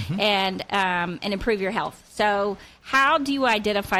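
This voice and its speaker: A woman with an unremarkable speaking voice talks at a medium pitch and moderate speed in a very clean recording with a silent background. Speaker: radio show host and life coach. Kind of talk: talk radio show host. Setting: radio studio.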